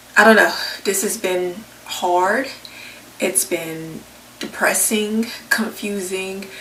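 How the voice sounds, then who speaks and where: Speaking very slowly with long, frequent pauses, a woman uses a medium pitch and ordinary pitch variation. Audible room echo and noticeable background noise surround her. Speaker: vlogger. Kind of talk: personal testimony vlog. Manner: soft-spoken.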